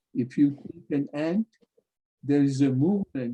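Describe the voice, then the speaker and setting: Dry and close with no echo, a man's fairly high voice carries a dark, mellow tone, ordinary pitch variation and a non-native accent. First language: not English. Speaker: spiritual teacher. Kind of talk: lecture.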